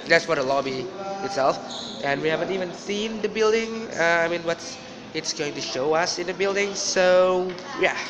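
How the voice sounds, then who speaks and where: The man's pitch shows ordinary variation. Behind him, background noise is noticeable. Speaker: exchange student vlogger. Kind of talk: casual vlog chat. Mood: excited. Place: hall. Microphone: phone near.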